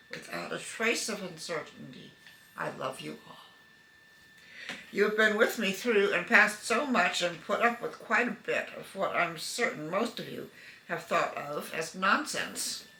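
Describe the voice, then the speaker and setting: A woman speaks at a fairly slow pace, her loudness swinging widely. Audible room echo and noticeable background noise surround her voice. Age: 80s+. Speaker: family member sending a video greeting. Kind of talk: personal video letter.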